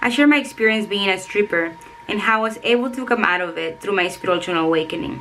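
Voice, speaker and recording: With music in the background, a woman of medium pitch races along at a very fast pace, her intonation lively. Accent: Spanish. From El Salvador. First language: Spanish. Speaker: self-help author and coach. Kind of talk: reading aloud; vlog talk to camera.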